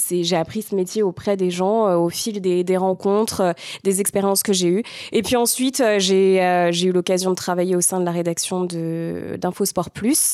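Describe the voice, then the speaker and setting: A woman's dark, mellow voice at a medium pitch, fairly slow, with very even loudness and fairly even intonation. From Paris region, France. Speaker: weather presenter and radio host. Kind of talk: interview.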